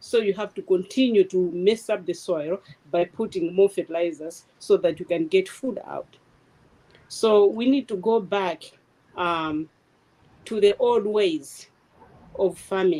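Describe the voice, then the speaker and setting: A woman speaks at a fairly slow pace with long, frequent pauses, her medium pitch carrying a dark, mellow tone and ordinary pitch variation. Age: 70s. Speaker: food sovereignty panelist. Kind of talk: panel discussion. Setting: video call.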